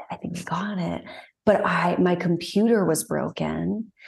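Speaking at a moderate pace with a Southern US accent, a woman has a fairly low pitch and a dark, mellow tone. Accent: Southern US, natural. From Texas. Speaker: singer-songwriter. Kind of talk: casual interview chat.

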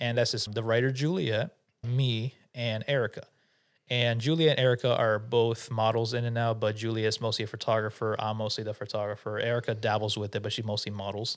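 In a plain, everyday voice, the speaker moves at a fairly quick pace with fairly even intonation. The recording is very clean, with a silent background. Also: man, medium pitch for a man. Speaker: podcast co-host, photographer and content creator. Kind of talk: casual chat. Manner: casual, joking.

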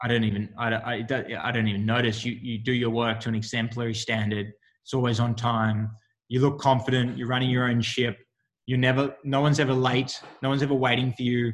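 At a very fast pace, a man with an Australian accent speaks in a monotone, flat intonation. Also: medium pitch for a man. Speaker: Olympic sprinter. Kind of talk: interview. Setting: video call.

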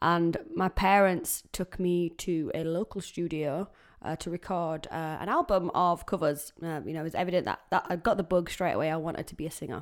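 In a very clean recording with a silent background, a woman with a Yorkshire accent and a fairly low pitch talks at a fairly quick pace with hardly any pauses. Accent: broad Yorkshire. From Yorkshire, England. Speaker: country singer-songwriter and podcaster. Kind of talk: casual solo podcast introduction.

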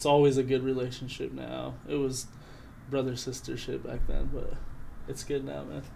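A man speaks at a moderate pace with an American accent. Room echo is audible around his voice. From Montana, Flathead Indian Reservation. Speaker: rapper. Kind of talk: casual chat.

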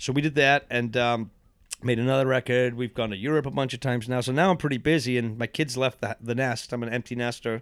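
A man's medium-pitched voice at a very fast pace, on a very clean recording with a silent background. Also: fairly even intonation. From England, then Massachusetts from age twelve. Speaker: rockabilly musician. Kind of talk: casual interview storytelling.

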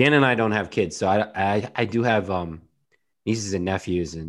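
The man's tone is animated. The background is quiet. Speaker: podcast co-host. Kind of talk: casual chat.

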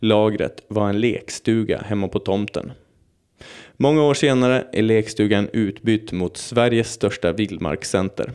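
A man with an unremarkable speaking voice talks at a fairly slow pace. His pitch sits fairly low, with ordinary variation. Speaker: podcast host. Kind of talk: scripted narration; casual chat.

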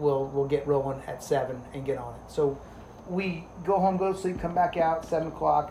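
The speaker has a normal speaking voice with an American accent, fairly even intonation and a moderate pace. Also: man. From New Jersey. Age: 40s. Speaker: police officer. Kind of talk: casual chat.

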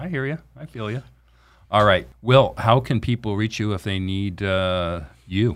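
With an American accent, a man speaks in an ordinary speaking voice at a fairly low pitch. His pace is fairly slow and his intonation lively. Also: big swings in loudness. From Orange County, California. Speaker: financial planner podcast host. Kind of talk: casual interview. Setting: studio.

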